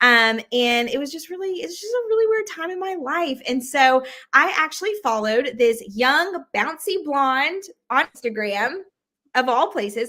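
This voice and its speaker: A woman's raised, projected voice with an American accent, high pitch, very wide pitch swings, a bright, sharp tone and moderate pace. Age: 20s. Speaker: sales director. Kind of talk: interview. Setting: livestream video call.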